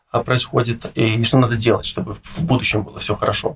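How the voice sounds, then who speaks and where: This man's somewhat breathy voice moves along at a fairly quick pace. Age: 30s. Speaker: finance consultant. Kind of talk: interview.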